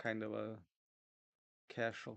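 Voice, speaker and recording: A man mumbles at a very slow pace. His pitch sits fairly low. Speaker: streamer drawing a webcomic. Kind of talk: casual livestream chat. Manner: mumbling; soft-spoken.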